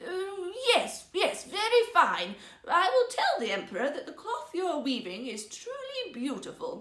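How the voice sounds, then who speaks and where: A put-on character voice at extremely high pitch moves at a fairly slow pace with very wide pitch swings. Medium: read story.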